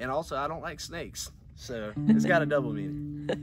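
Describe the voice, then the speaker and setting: A man talks at a moderate pace over clear music in the background, in a dry sound with no echo. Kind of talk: casual talk about a song. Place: forest.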